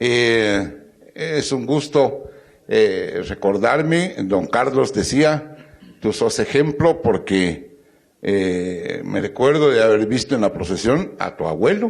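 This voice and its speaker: This man's pitch swings very widely, and vocal fry runs through his voice. He speaks at a very slow pace. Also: medium pitch for a man. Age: 80s+. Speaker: procession participant, panelist. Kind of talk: panel talk, personal recollection.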